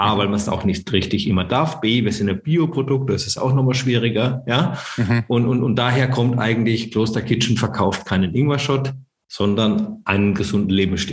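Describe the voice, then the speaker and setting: Audible room echo surrounds a man speaking at medium pitch and a moderate pace, with ordinary pitch variation. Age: 40s. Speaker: startup founder. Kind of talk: interview.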